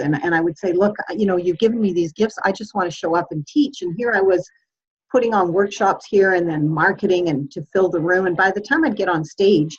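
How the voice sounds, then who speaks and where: A woman speaks at a medium pitch with ordinary pitch variation. She talks at a fairly quick pace in an ordinary speaking voice. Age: 60s. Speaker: workshop teacher and speaker. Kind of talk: group video call coaching session.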